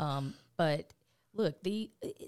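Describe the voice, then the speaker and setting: Recorded very cleanly against a silent background, a woman speaks in a very deep, low pitch. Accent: Southern US. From US South, rural south Georgia. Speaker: state politician and lawyer. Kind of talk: interview.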